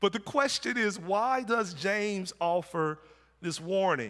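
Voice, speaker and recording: With lively intonation and a bright, sharp tone, a man projects a raised, high-pitched voice on a very clean recording with a silent background. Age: 40s. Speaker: pastor. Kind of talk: sermon. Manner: halting, repeats words.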